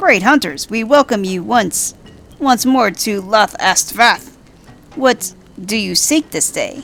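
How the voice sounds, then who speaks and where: A woman does a put-on character voice at a fairly high pitch. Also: fairly slow pace. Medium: game stream. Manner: archaic, stilted, repetitive phrasing.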